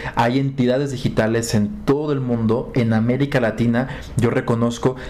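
Amid noticeable background noise and audible room echo, a man with a Mexican accent speaks at medium pitch with fairly even intonation. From Mexico, Acapulco. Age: 30s. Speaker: digital communication specialist. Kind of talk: interview. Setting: in person in Bogotá.

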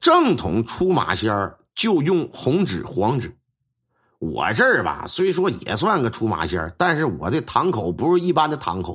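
With a Northeastern Chinese accent, a man speaks at a fairly slow pace, his medium pitch making very wide swings. Vocal fry is present, and the background is quiet. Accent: Northeastern Mandarin. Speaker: storyteller, folk shaman. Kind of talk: storytelling narration. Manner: animated.

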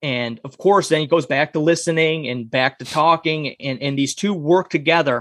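A man speaks at a moderate pace with a fairly high pitch and a plain, everyday voice. His intonation stays fairly even, and the very clean recording is dry and close, with no echo and a silent background. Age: 30s. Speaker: author and podcast host. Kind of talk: casual interview.

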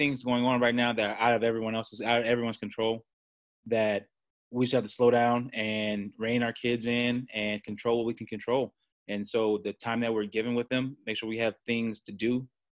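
Over a quiet background, a man with an American accent speaks at a fairly quick pace with fairly even intonation. He has a normal speaking voice at medium pitch. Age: 30s. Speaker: college football coach. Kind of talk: casual interview.

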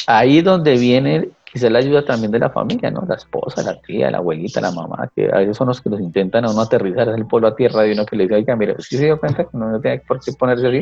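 A man speaks at a very fast pace in a medium pitch. His intonation is lively, and there is noticeable background noise. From Colombia, Tequendama province (Cundinamarca). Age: 40s. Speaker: teacher. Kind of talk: casual interview conversation.

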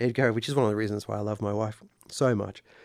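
An Australian accent at a fairly quick pace. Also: man. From Sydney, Australia. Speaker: songwriter. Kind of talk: casual chat. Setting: studio.

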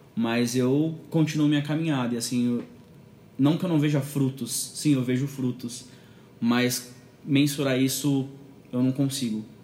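Fairly slow delivery with long, frequent pauses and fairly even intonation. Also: man, medium pitch for a man. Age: 20s. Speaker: church video producer. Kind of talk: casual interview.

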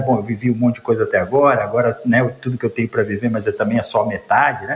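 A man is speaking. His pace is very fast. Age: 50s. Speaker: logistics executive. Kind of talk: interview. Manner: halting, many fillers.

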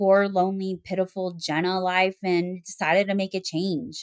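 A woman's monotone, flat intonation at a moderate pace. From Arkansas, Little Rock. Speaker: person in recovery from alcoholism. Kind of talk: interview, personal testimony.

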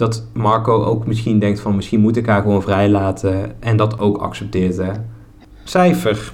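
The speaker has a southern Dutch accent, fairly even intonation and a fairly slow pace, with very even loudness. Audible room echo and noticeable background noise are present. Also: man, fairly low pitch for a man. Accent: soft G, southern Dutch. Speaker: podcast host. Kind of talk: casual chat. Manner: drops word endings.

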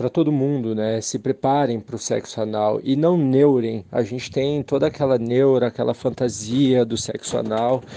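A man talks at a medium pitch. His pace is fairly slow and his intonation fairly even. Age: 20s. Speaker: listener giving testimony. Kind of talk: recorded voice message testimony. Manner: halting, many fillers.

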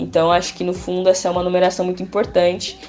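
A woman talks at a medium pitch. Music plays in the background. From São Paulo south side. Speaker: community prep course coordinator. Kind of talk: podcast interview.

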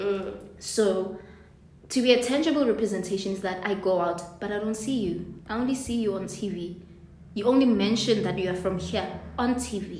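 A woman's voice with ordinary pitch variation, plus audible room echo and noticeable background noise. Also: medium pitch for a woman, moderate pace. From South Africa, Soweto. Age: 20s. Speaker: podcast co-host. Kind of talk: casual chat.

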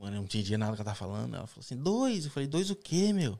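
A man talks at a very fast pace with lively intonation and a dark, mellow tone. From Brazil, São Paulo (raised), later Minas Gerais. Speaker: immigrant construction worker. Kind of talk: casual interview on live stream.

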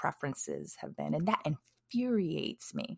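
A woman's very deep, low voice with vocal fry and an American accent, at a moderate pace, in a very clean recording with a silent background. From Wisconsin, US Midwest. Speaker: podcast host. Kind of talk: casual solo podcast monologue.

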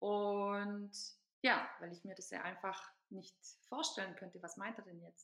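Speaking at a fairly slow pace and medium pitch, a woman uses a bright, sharp tone and fairly even intonation, with big swings in loudness and long, frequent pauses. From Hungarian minority in former Yugoslavia, then Germany from age 14. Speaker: self-love activist. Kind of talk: interview.

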